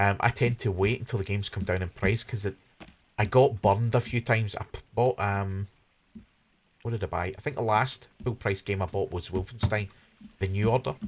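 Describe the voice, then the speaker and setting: A man's somewhat breathy voice, fairly low in pitch, fairly even in intonation, at a fairly quick pace. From Scotland, Glasgow. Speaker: gaming streamer. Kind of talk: live stream gameplay commentary. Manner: casual, hesitant with fillers.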